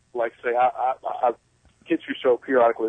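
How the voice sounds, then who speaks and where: Here a man speaks in a Southern US accent. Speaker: caller. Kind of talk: radio call-in. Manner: halting.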